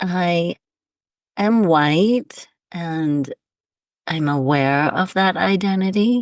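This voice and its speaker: An American accent over a quiet background. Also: woman. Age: 60s. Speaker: pelvic steaming practitioner. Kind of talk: casual chat. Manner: halting.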